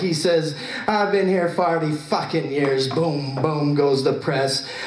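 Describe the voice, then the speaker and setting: Over noticeable background noise, a man with an American accent speaks at a fairly slow pace with ordinary pitch variation. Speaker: poet. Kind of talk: spoken word poem.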